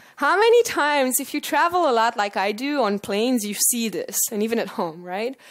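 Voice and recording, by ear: Speaking at a moderate pace, a woman with a high pitch uses lively intonation.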